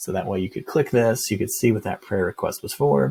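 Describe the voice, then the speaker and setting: A man with a fairly low pitch and a dark, mellow tone speaks somewhat breathily. The recording is very clean with a silent background. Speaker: software company founder giving product demo. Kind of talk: screen-share product demo. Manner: fast; casual, upbeat.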